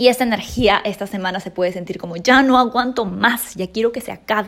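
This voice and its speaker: A woman speaks with a fairly high pitch. Her pace is moderate and her pitch variation ordinary. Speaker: astrology coach podcaster. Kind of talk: astrology forecast monologue.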